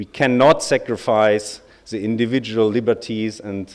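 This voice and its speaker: Here a man talks with fairly even intonation. His voice is fairly low. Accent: German. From Germany. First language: German. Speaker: lawyer, bar association representative. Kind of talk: conference speech.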